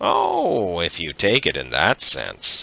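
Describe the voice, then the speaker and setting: A man puts on a hoarse character voice. He talks at a fairly slow pace. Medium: read story. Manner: blunt, teasing.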